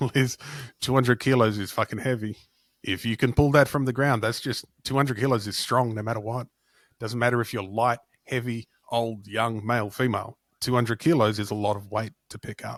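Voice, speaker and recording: A man's plain, everyday voice at medium pitch, fairly quick in pace with fairly even intonation, in a very clean recording with a silent background and a dry, close sound with no echo. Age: 40s. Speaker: strength coach podcast host. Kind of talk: casual chat.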